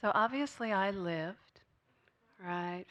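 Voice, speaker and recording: This woman is soft-spoken. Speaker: spiritual speaker. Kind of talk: sermon.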